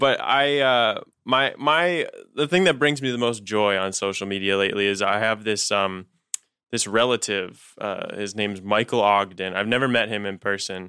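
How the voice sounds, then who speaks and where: A man's fairly low voice, an ordinary speaking voice, carries ordinary pitch variation and keeps a moderate pace. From Canada. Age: 20s. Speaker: comedian. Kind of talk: casual chat.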